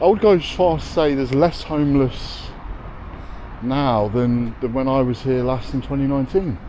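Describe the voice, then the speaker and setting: In a Leicester accent, a man talks at a moderate pace and medium pitch, his pitch varying in an ordinary way over noticeable background noise. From English Midlands, Leicester. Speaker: travel vlogger. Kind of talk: casual walking vlog chat.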